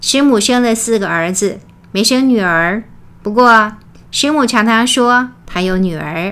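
With an ordinary speaking voice, a woman talks fairly slowly at a fairly high pitch with ordinary pitch variation. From Taiwan. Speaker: religious lecturer. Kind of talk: memorial lecture.

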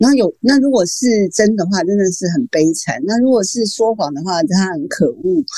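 A woman talks at a moderate pace and medium pitch, with hardly any pauses. Her dark, mellow tone moves through very wide pitch swings. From Taiwan. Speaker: novelist. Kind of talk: interview.

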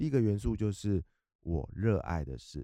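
Dark and mellow, a man's voice comes through with a dry, close sound and no echo. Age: middle-aged. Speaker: author. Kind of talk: interview. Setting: studio.

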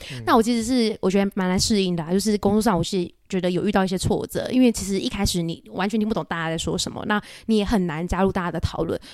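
This woman speaks at a very fast pace. Her voice is medium in pitch, with ordinary pitch variation. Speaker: private banker. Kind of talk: interview conversation.

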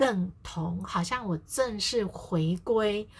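Very slowly, a woman speaks at a medium pitch in a somewhat breathy voice. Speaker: family therapist and podcast host. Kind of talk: casual solo podcast talk. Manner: frequent fillers, conversational pace.

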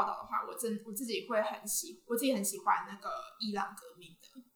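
A woman's fairly high voice with lively intonation and audible room echo. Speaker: university student and social media creator. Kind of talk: casual interview.

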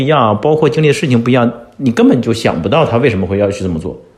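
A man is speaking. His voice is somewhat breathy. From China. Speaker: entrepreneur. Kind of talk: casual chat.

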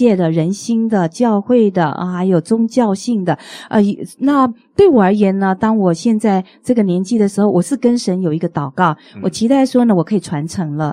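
In a dry, close recording with no echo, a woman speaks at a moderate pace with a medium pitch and a dark, mellow tone. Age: 50s. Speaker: pastor and evangelist. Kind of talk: testimony in interview. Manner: halting, many fillers.

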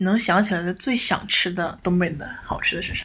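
Noticeable background noise sits behind a woman's voice. She talks at a fairly quick pace. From Northeast China. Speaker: podcast co-host. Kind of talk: casual chat.

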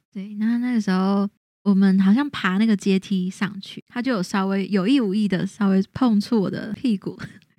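In a very clean recording with a silent background and a dry, close sound with no echo, a woman with a slight Taiwanese accent speaks in a dark, mellow tone at a medium pitch, a moderate pace and with fairly even intonation. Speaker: podcast co-host. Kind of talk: casual chat, storytelling.

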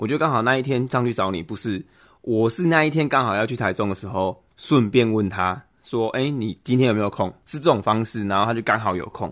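A man speaks in a Taiwanese accent at a medium pitch and a fairly quick pace. His pitch varies in an ordinary way over a quiet background. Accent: Taiwanese Mandarin. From Taiwan, Kaohsiung. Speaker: podcast host, father. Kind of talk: casual chat.

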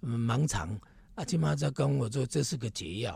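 A man talks at a moderate pace in a Taiwanese accent. His pitch swings very widely. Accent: Taiwanese Hokkien speaker. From Taiwan, Taipei Neihu. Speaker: city councillor candidate. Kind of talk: interview, casual chat.

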